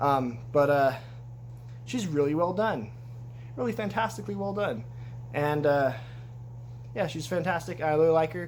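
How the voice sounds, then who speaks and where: There is audible room echo as a man with a fairly high pitch speaks with lively intonation and long, frequent pauses. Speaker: toy collector YouTuber. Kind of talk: casual video review. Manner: fast; halting.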